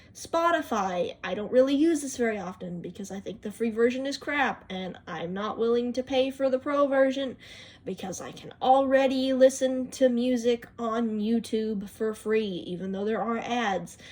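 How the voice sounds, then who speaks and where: Amid noticeable background noise, a woman with a fairly high pitch speaks with big swings in loudness. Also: ordinary pitch variation, moderate pace, hardly any pauses. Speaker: YouTuber showing phone apps. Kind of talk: casual video walkthrough. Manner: odd, unnatural tone.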